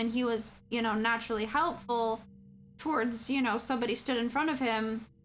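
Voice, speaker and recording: A woman speaks at a high pitch with fairly even intonation, and audible room echo surrounds her voice. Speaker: video game streamer. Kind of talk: casual chat. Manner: loud.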